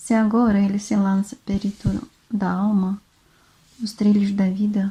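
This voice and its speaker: Slightly breathy and dark, mellow in tone, a woman talks at a fairly slow pace with monotone, flat intonation. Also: medium pitch for a woman. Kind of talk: relaxing book reading. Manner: soft-spoken, relaxing.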